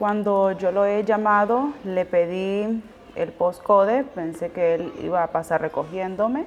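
The voice has ordinary pitch variation, with noticeable background noise behind it. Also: woman, medium pitch for a woman. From Honduras. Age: 20s. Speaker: asylum seeker sharing her story. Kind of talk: testimony.

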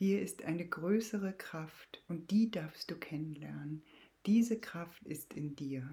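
Very slowly, a woman speaks in a calm, soothing, dark and mellow voice, somewhat breathy and fairly low, with ordinary pitch variation. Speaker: podcast host and Jin Shin Jyutsu practitioner. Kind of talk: guided meditation. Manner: slow, calm, soothing; gentle, reassuring with long pauses.

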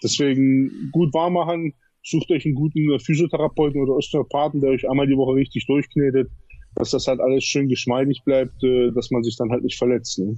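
A man talks at a fairly quick pace with a fairly high pitch. His loudness stays very even and his intonation fairly even. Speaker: bodybuilder. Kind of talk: interview. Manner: halting, many fillers.

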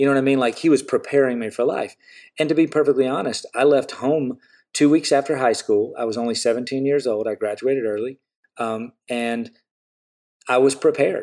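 On a very clean recording with a silent background, a man with an American accent speaks fairly quickly at a medium pitch. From US South. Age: 40s. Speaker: artist. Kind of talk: casual chat. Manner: animated.

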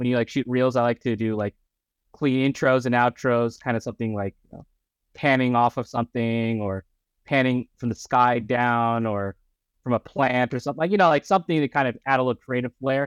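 Speech in an American accent at a fairly quick pace, ordinary pitch variation, and a dry, close sound with no echo. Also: man, medium pitch for a man. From Southern California, Orange County. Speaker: food photographer and blogger. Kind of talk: casual interview. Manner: casual, filler-heavy.

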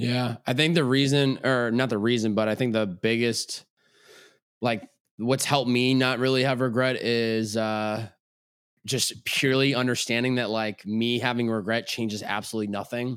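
An ordinary speaking voice from a man with an American accent, fairly even intonation and a moderate pace, on a very clean recording with a silent background. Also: medium pitch for a man. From Western Massachusetts. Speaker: self-improvement coach and content creator. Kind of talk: casual interview conversation.

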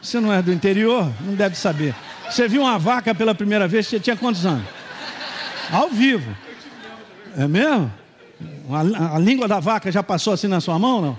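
A man's high-pitched voice at a moderate pace, lively in intonation, with long, frequent pauses and noticeable background noise. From Minas Gerais, Brazil. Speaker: pastor. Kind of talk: sermon. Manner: animated.

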